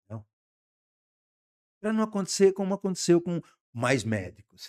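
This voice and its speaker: A man's high voice with very wide pitch swings at a fairly slow pace, dry and close with no echo, on a very clean recording with a silent background. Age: 70s. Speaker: communications entrepreneur. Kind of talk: podcast interview.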